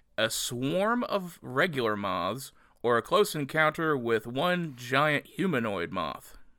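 On a very clean recording with a silent background, a man speaks at a medium pitch in a bright, sharp tone with very wide pitch swings. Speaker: podcast host. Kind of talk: casual comedic podcast chat.

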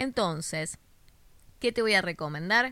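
With a Rioplatense accent, a woman speaks in very wide pitch swings. The recording is very clean, with a silent background. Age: 30s. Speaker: image consultant podcast host. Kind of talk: solo podcast talk, advice monologue.

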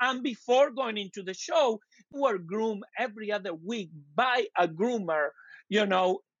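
A man with a high pitch, lively intonation and a fairly slow pace. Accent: Argentine. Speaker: dog groomer. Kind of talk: interview.

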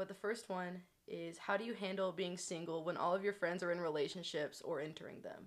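Fairly quick speech from a woman, pitched in the medium range. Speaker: podcast host. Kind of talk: casual chat. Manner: animated.

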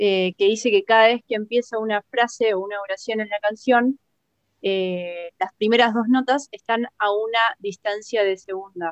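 A woman with an ordinary speaking voice, fairly even intonation and a moderate pace, dry and close with no echo. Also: fairly high pitch for a woman. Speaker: podcast co-host. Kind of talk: casual chat.

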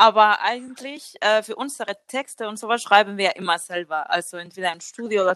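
The sound is dry and close with no echo. The tone is bright and sharp, with ordinary pitch variation. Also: woman. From Spain. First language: Spanish (speaking German). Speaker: singer. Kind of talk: casual chat.

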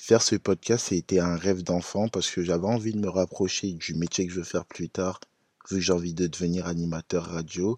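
A man speaks at a fairly quick pace in a very deep, low voice, with fairly even intonation and a dry, close sound with no echo over a quiet background. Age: young. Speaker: podcast host. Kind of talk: casual podcast monologue.

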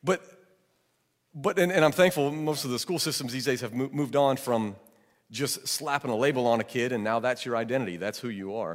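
A man with an American accent and an unremarkable speaking voice talks at a medium pitch and a fairly quick pace with lively intonation. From Georgia, US South. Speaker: pastor. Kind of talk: sermon.

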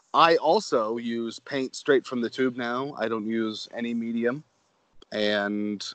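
A man with a plain, everyday voice, an American accent, medium pitch and a fairly slow pace. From Connecticut, Manchester near Hartford. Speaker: podcast host and painter. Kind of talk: casual interview.

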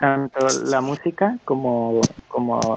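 In an ordinary speaking voice, a man talks at a medium pitch with fairly even intonation, the sound dry and close with no echo. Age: young. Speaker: podcast co-host. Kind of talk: casual chat.

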